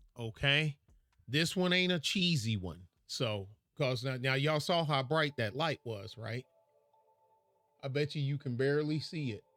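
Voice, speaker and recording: With music playing in the background, a man with a fairly high voice talks at a moderate pace, using ordinary pitch variation and long, frequent pauses. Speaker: YouTuber reviewing recording gear; former artilleryman. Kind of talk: casual vlog talk to viewers. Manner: loud; halting with fillers and repeats.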